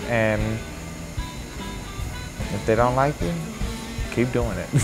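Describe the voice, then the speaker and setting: A man with an American accent, clear music in the background. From Chicago, Illinois. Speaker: blues musician. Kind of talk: interview answer. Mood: relaxed, smiling, earnest. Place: bar. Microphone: lapel.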